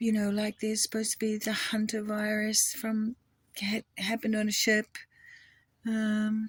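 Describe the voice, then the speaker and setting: A woman speaks at a moderate pace, fairly high-pitched and somewhat breathy, in a monotone, flat way with long, frequent pauses. The very clean recording has a silent background and dry, close sound with no echo. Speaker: video blogger. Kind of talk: casual monologue. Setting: outdoors. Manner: halting.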